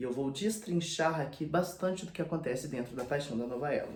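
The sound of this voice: A man puts on a hoarse character voice with a fairly high pitch at a fairly quick pace. There is audible echo.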